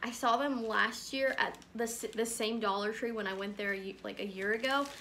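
A woman speaks in a raised, projected voice at a moderate pace. Her pitch variation is ordinary, with light background noise. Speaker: haul vlogger. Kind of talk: casual vlog chat. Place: home room. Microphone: phone near.

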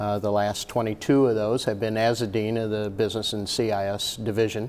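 In an American accent, a man with a fairly low pitch talks at a moderate pace in a monotone, flat intonation with hardly any pauses. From northwest Ohio (Maumee); Ohio. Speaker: college dean. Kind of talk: casual interview. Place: office. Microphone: lapel.

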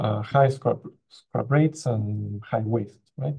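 A man's somewhat breathy voice moves at a fairly slow pace, the intonation fairly even. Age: young. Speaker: postdoctoral researcher. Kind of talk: conference talk. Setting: video call.

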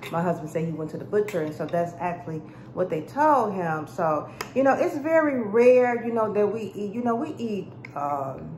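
The pace is moderate. Light background noise and audible room echo are present. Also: woman. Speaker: food vlogger. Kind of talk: casual mukbang vlog chat. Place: kitchen. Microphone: phone near.

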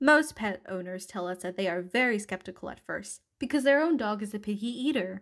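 In a very clean recording with a silent background, a woman with an unremarkable speaking voice talks at a fairly high pitch and moderate pace, her intonation lively. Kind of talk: infomercial read.

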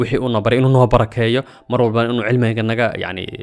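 A man's medium-pitched voice with a Somali accent and monotone, flat intonation. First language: Somali (speaking Arabic). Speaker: religious storyteller. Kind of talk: religious talk.

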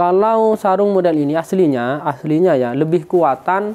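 A woman speaks with lively intonation. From East Java, Indonesia. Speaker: sarong seller. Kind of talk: street seller pitch, rapid-fire sales promo to camera. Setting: shop, speaking to camera. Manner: fast, repetitive, urgent; rambling, self-correcting. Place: shop.

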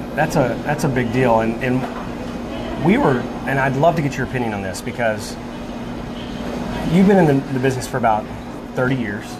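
Over music in the background, the speech moves at a moderate pace with ordinary pitch variation and long, frequent pauses. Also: man. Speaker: show host. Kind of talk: interview question. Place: cafe. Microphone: lapel.

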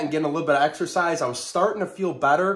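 This man speaks with a high pitch. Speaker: vlogger. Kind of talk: casual vlog chat. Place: home room. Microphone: phone near.

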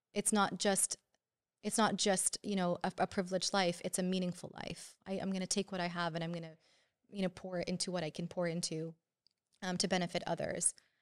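Against a quiet background, the speech moves at a fairly quick pace in a flat, monotone delivery. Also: woman. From Canada, Syrian family. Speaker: psychiatry resident; podcast guest. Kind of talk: casual interview. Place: studio. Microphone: studio mic.

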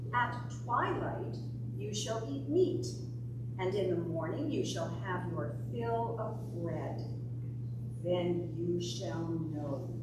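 A woman talks at a very slow pace, with long, frequent pauses. There is loud background noise and audible room echo. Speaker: lay scripture reader. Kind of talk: scripture reading. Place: church.

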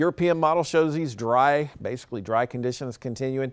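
The background is quiet as a man speaks. His pace is moderate and his pitch varies in an ordinary way. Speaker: TV meteorologist. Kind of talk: local TV weather forecast, rattling through temperatures and dates. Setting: studio. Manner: brisk, steady forecaster cadence; friendly, reassuring sign-off tone. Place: studio. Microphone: lapel.

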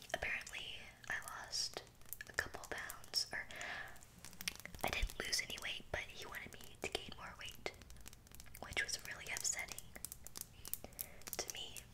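Over loud background noise, a woman speaks with long, frequent pauses. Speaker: ASMR creator. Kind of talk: casual vlog chat. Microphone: studio mic.

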